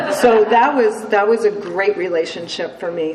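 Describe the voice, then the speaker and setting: Over noticeable background noise and audible room echo, a woman with an American accent speaks at a fairly slow pace in a fairly high pitch. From upstate New York (Cooperstown). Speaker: recovering alcoholic, AA speaker. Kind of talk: testimony. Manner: casual, many fillers.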